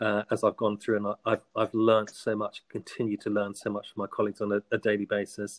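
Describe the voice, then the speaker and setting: A man with a southern English accent, fairly low pitch and a monotone, flat delivery at a very fast pace, in a dry, close sound with no echo on a very clean recording with a silent background. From southern England, Hampshire. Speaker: school head teacher. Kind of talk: interview.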